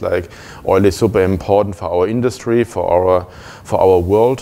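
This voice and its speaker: A man talks at a moderate pace in a normal speaking voice. His intonation is fairly even. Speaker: conference speaker. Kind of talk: lecture. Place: meeting room.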